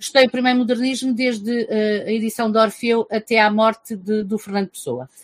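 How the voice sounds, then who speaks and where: An unremarkable speaking voice from a woman, fairly high in pitch, at a fairly slow pace, with a dry, close sound and no echo. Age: 50s. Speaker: teacher and book reviewer. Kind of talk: casual interview.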